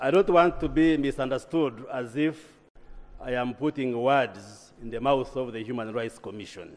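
A man speaks at a moderate pace with ordinary pitch variation. His volume rises and falls sharply. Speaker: government minister in parliament. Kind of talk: parliamentary response; parliamentary debate speech. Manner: formal, measured. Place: hall. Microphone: podium.

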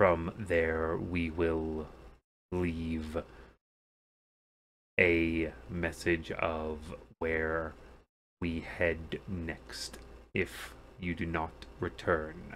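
Using a put-on character voice, a man speaks very slowly in a very deep, low pitch, with monotone, flat intonation and long, frequent pauses. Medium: actual play. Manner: clipped, formal, stern.

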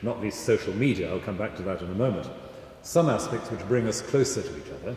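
Over light background noise and audible room echo, a man speaks with very wide pitch swings. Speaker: guest. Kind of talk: interview answer. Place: church. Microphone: handheld.

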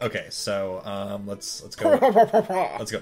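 This is someone reading aloud. The voice sounds natural.

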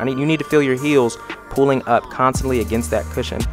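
There is music in the background while a man speaks. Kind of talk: tutorial voice-over commentary.

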